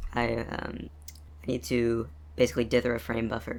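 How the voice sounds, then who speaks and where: The intonation rises and falls in a lively way. This man's voice has vocal fry. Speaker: game developer. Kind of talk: casual devlog narration. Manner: fast, hesitant with many fillers.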